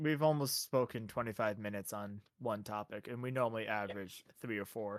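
A man with a plain, everyday voice talks at a fairly quick pace, with hardly any pauses, a fairly low pitch and ordinary pitch variation. The recording is very clean, with a silent background. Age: 20s. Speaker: podcast host. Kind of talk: casual chat.

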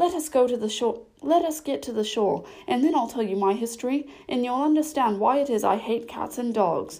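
A woman puts on a character voice, high-pitched and shaky. She keeps a moderate pace. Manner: passionate, hurt.

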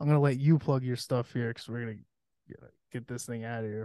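Holding a fairly even intonation at a medium pitch, a man speaks at a very fast pace. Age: 30s. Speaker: podcast host. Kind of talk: casual chat.

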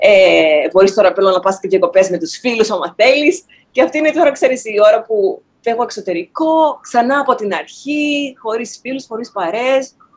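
A woman with a plain, everyday voice, fairly high pitch, lively intonation and moderate pace. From Greece, Thessaloniki. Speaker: actor. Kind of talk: interview.

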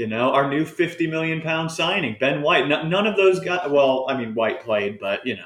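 A man speaks at a moderate pace with hardly any pauses, his fairly high pitch carried by lively intonation in an ordinary speaking voice. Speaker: football show host. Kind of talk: casual chat.

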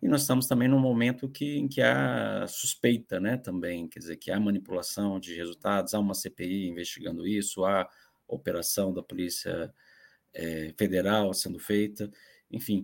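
This man's voice sits fairly low, and his delivery moves at a moderate pace. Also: lively intonation, very clean recording, silent background. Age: 40s. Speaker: journalist. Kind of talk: panel discussion. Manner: halting.

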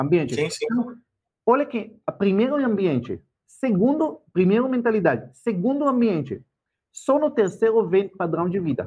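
His pitch swinging very widely, a high-voiced man keeps to a moderate pace. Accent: non-native. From Israel. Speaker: financial educator. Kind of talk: casual chat.

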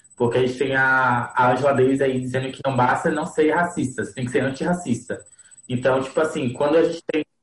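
A man talks in a somewhat breathy voice at medium pitch, keeping his intonation fairly even. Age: 20s. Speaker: podcast co-host, lawyer. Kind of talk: casual group conversation.

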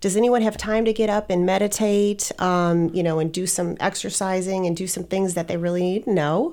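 A woman with an American accent speaks at a moderate pace in a medium pitch with a dark, mellow tone. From Wisconsin. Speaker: business owner, branding and marketing. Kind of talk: casual interview.

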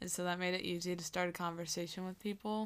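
With an American accent, a woman speaks at a fairly quick pace, her medium pitch held in fairly even intonation. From Iowa (Wilton). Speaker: college student, ride companion. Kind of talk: casual chat.

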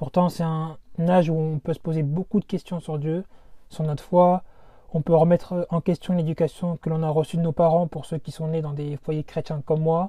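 In a dry, close sound with no echo, a man speaks at a moderate pace with a fairly high pitch, a dark, mellow tone, and monotone, flat intonation. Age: 20s. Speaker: podcast host. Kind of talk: podcast introduction monologue.

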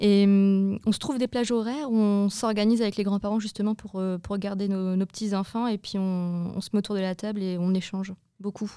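Woman's medium-pitched voice, dark and mellow, monotone and flat, at a fairly quick pace with hardly any pauses, on a very clean recording with a silent background. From northern France. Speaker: entrepreneur, young parent. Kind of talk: interview.

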